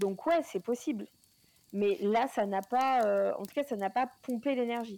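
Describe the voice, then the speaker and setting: A woman talks at a very slow pace. Her fairly high pitch shows ordinary pitch variation. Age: 40s. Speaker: paranormal podcast co-host. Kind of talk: casual chat.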